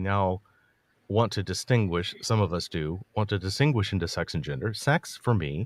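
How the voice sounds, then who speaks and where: Recorded very cleanly against a silent background, with a dry, close sound and no echo, a man with a fairly low pitch speaks at a moderate pace with ordinary pitch variation. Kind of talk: debate discussion. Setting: livestream. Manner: halting.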